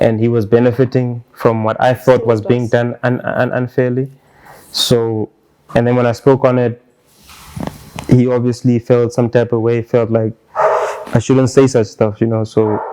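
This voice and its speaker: The speech moves at a moderate pace with monotone, flat intonation. Long pauses come often. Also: man, medium pitch for a man. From Namibia. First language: Otjiherero. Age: young. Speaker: hip hop artist. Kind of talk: casual chat.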